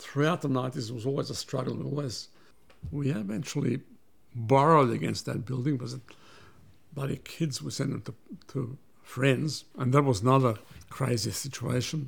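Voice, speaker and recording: With an Australian accent, a man talks at a fairly slow pace against noticeable background noise. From Australia (Melbourne), after early childhood in Belgrade and Vienna. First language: Serbian. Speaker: businessman and migrant community figure. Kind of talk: interview, personal life story.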